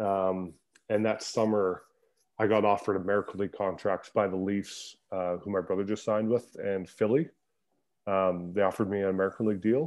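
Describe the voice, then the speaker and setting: A man with a Canadian accent talks at a fairly quick pace, fairly low in pitch with fairly even intonation, in an unremarkable speaking voice. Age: 30s. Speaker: ice hockey player. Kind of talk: casual chat.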